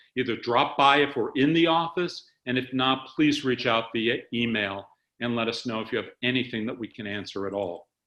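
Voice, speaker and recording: A man at medium pitch and moderate pace, an ordinary speaking voice. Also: ordinary pitch variation. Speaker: organization executive. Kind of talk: staff town hall presentation. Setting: webcast video call.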